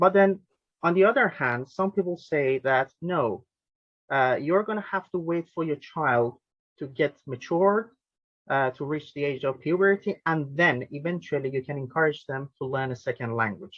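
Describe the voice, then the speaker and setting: A man speaks with a Persian accent at a moderate pace. His pitch is fairly high, and his intonation is lively. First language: Farsi. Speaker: linguist and language tutor, webinar host. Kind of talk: webinar interview question.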